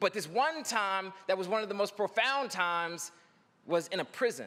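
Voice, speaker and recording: A man speaks in a raised, projected voice with a high pitch, a bright, sharp, animated tone and lively intonation at a moderate pace. The recording is very clean, with a silent background. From North Philadelphia, US. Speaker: poet and commencement speaker. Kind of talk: commencement speech with storytelling. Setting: stage with audience.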